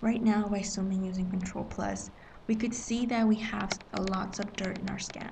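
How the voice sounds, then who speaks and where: A woman whispers quietly at a moderate pace. Noticeable background noise can be heard. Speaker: manga scanlation editor. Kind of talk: screen-recorded software tutorial. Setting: public facility. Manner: whispered, quiet.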